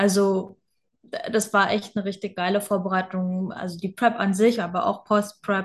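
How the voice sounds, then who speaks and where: The voice is somewhat breathy and flat, monotone in its intonation. It moves at a moderate pace against a quiet background. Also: woman. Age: 20s. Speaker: online fitness and mindset coach. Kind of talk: casual interview.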